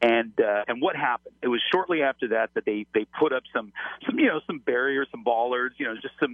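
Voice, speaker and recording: With a plain, everyday voice, a man speaks at a medium pitch with ordinary pitch variation. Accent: American. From Los Angeles. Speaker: former FBI agent. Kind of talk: interview. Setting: phone call.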